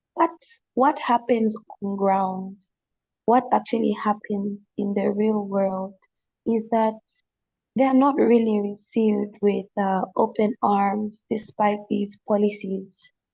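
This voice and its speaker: This woman talks at a very slow pace and medium pitch, somewhat breathy with a dark, mellow tone. Her intonation is fairly even. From Zambia. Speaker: panelist on youth dialogue. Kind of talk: panel discussion. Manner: halting, many false starts.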